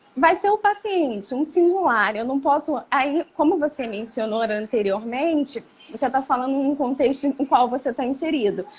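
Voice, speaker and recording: A woman with a high pitch speaks fairly slowly, her pitch swinging very widely over noticeable background noise. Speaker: psychologist. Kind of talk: interview on psychology.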